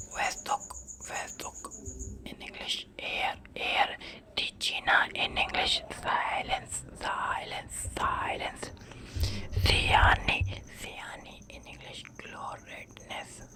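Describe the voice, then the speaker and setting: Someone whispers at a very slow pace, with long, frequent pauses. Noticeable background noise can be heard. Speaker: ASMR creator. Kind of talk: ASMR whispered vocabulary lesson. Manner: whispered, soft.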